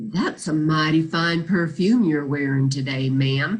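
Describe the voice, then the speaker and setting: In a put-on character voice, a woman speaks at a moderate pace with a very deep, low pitch and ordinary pitch variation. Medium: read story. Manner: courteous.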